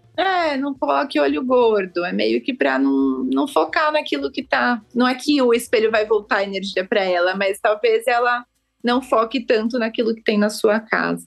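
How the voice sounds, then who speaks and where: The pitch swings very widely. There are hardly any pauses. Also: woman, fairly high pitch for a woman, moderate pace. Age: 30s. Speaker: architect and feng shui consultant. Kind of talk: podcast interview.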